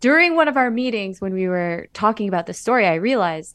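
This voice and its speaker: Against a quiet background, a woman speaks with a Californian accent. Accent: Californian American. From Los Angeles Koreatown. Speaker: actor and podcast host. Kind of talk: radio interview.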